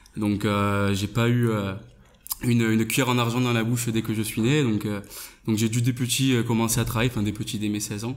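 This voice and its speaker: In a monotone, flat intonation, a man speaks at a fairly quick pace. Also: medium pitch for a man. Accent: slight southern French. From southern France. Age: 20s. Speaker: online entrepreneur. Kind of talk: interview. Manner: hesitant, many fillers.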